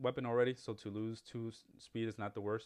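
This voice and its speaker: This is a man speaking. He has a Spanish accent. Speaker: gaming YouTuber. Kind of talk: gameplay tutorial. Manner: casual, many fillers and restarts.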